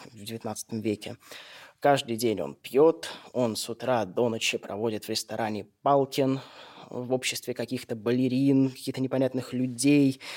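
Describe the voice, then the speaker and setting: A man speaks in a plain, everyday voice at medium pitch and a moderate pace. His intonation is fairly even, and the sound is dry and close with no echo. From St. Petersburg, Russia. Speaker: radio host. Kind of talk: scripted narration. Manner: formal.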